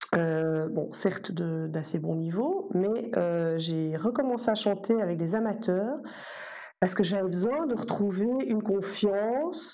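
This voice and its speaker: A woman's medium-pitched voice at a very slow pace, with lively intonation, audible room echo and noticeable background noise. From Belgium. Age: 40s. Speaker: soprano singer and music teacher. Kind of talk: casual interview.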